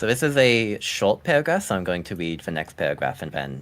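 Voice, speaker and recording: A man talks at a fairly quick pace in a very deep, low pitch. His voice has vocal fry and very wide pitch swings. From Germany (Bavaria), raised partly in US. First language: German. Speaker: vtuber streamer. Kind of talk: reading aloud.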